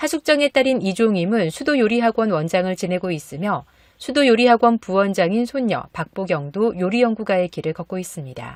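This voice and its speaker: Recorded very cleanly against a silent background, a woman with a medium pitch talks at a fairly quick pace in very wide pitch swings, the sound dry and close with no echo. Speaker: news announcer. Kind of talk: news read.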